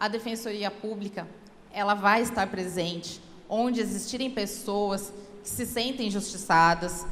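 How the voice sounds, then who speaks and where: Noticeable background noise and audible room echo surround a speaker with a Paulista accent who talks at a fairly slow pace with fairly even intonation. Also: woman, medium pitch for a woman. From São Paulo, Brazil. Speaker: public defender. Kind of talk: speech at a law event.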